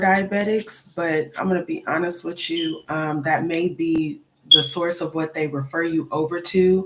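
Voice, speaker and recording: A soft-spoken woman with a fairly low pitch at a fairly slow pace. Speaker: nurse teaching diabetics. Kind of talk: live stream talk.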